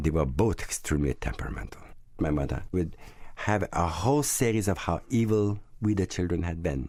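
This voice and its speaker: A man's dark, mellow voice moves at a moderate pace on a very clean recording with a silent background. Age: 60s. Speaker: security guard. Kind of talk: personal testimony. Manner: halting.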